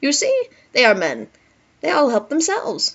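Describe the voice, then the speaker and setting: A put-on character voice pitched high. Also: female-sounding voice, moderate pace. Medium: read story. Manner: commanding.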